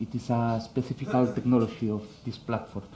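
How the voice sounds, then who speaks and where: A man speaks at a moderate pace in a dark, mellow tone. His voice is somewhat breathy. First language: Spanish. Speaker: conference speaker. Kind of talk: technical talk. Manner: halting, many fillers.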